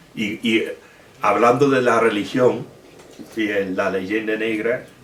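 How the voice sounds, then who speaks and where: Amid noticeable background noise and audible room echo, a man speaks very slowly at medium pitch with fairly even intonation. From Britain. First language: English (speaking Spanish). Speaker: historian and author. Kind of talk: Q&A at book presentation. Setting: bookshop event with audience. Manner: halting, many fillers.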